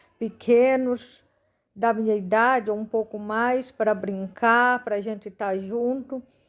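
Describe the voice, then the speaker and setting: A woman speaks very slowly in a fairly high voice, her intonation flat and monotone. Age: 40s. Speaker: missionary. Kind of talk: testimony.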